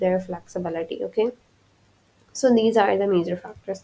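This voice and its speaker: A woman speaks at medium pitch in a dark, mellow tone, her intonation fairly even. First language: not English. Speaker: physical therapy lecturer. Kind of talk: lecture. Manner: halting, with fillers and restarts.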